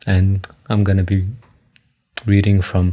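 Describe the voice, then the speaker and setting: Very deep and low in pitch, a man speaks at a very slow pace with a dark, mellow tone that is somewhat breathy. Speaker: amateur reader sharing stutter practice. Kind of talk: casual chat; reading aloud. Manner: halting.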